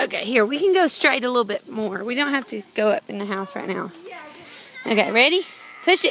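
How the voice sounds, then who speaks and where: The speaker talks at a fairly quick pace while a crowd can be heard in the background. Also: woman, high pitch for a woman, dry sound with no echo. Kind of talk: casual talk to a toddler. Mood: warm, encouraging. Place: street. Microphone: phone near.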